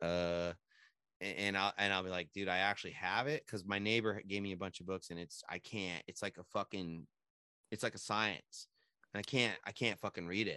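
With an American accent, this voice has a bright, sharp tone and a fairly quick pace. The sound is dry and close with no echo, on a very clean recording with a silent background. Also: man. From San Jose, California. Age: 40s. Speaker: podcast host and small business owner. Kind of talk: casual interview chat. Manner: laid-back, slangy with frequent fillers.

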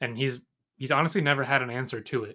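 A man with an American accent talks at a fairly quick pace in a medium pitch, with a bright, sharp tone. The recording is very clean, with a silent background. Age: 20s. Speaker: sports podcast host. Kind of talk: solo sports commentary podcast. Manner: casual, some halting restarts.

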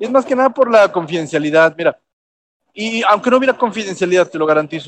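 A man with a Mexican accent, high-pitched and very fast, with lively intonation and a dry, close sound free of echo. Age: 30s. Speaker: cooking show contestant. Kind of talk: casual chat.

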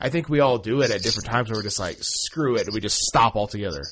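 A man talks at a medium pitch in an American accent, his voice somewhat breathy. The recording is very clean, with a silent background. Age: 30s. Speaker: toy podcast host. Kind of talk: casual chat; solo monologue update.

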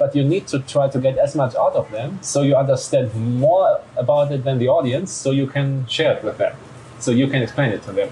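Noticeable background noise fills the clip while a man talks fairly quickly. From Germany. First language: German. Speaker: journalist. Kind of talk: interview.

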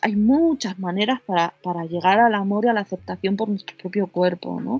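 A woman with a medium pitch and ordinary pitch variation speaks at a fairly slow pace. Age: 40s. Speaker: psycho-body therapist and sex coach. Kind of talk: interview. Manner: halting.

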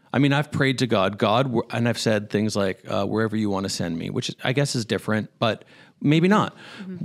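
A man with a Canadian accent talks in a normal speaking voice at a medium pitch. His intonation is lively and his pace fairly quick. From Canada. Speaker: church podcast co-host. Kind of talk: casual faith podcast chat.

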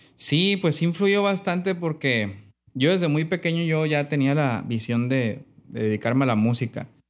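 This man has a normal speaking voice, fairly high in pitch, with lively intonation and very even loudness at a fairly slow pace. The recording is very clean, with a silent background. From Mexico, Sinaloa (Mazatlán). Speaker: pianist and music producer. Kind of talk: interview.

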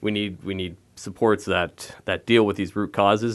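With a Canadian accent, a man talks at a fairly slow pace in an ordinary speaking voice, fairly low in pitch with fairly even intonation, against a quiet background. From Ontario, Canada. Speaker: city council candidate. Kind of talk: interview. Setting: studio.

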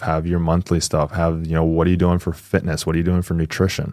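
Speech with an American accent, very clean recording, silent background. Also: man. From Northern California. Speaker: former police officer and burnout coach. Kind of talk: casual interview.

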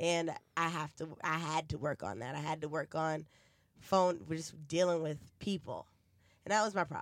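A woman's very deep, low voice with a New York accent, moderate pace, and long, frequent pauses, on a very clean recording with a silent background. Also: ordinary pitch variation. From New York City (Bronx), then New Jersey. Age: 20s. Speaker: podcast host. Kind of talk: casual chat.

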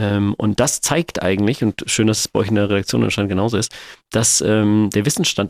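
A fairly low-pitched man with vocal fry at a very fast pace, in a dry, close sound with no echo. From Germany, Sindelfingen area (Swabia). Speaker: funeral director and company founder. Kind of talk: interview. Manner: hesitant with many filler sounds.

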